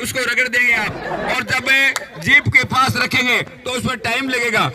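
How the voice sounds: A man speaks at a moderate pace with an extremely high pitch and a bright, sharp tone. Faint background noise and faint crowd noise sit behind him.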